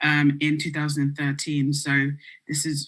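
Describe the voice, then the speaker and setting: A woman with a British accent speaks at a moderate pace. Her very deep, low pitch stays flat and monotone. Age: 20s. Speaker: music publicist. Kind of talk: panel interview.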